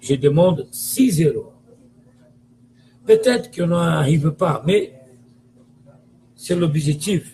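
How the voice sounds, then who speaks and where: With a Brazilian accent, a man speaks very slowly in a high, dark, mellow voice, his intonation lively and his pauses long and frequent. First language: Portuguese (speaking French). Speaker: football commentator. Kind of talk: video monologue, football opinion rant. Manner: animated; halting.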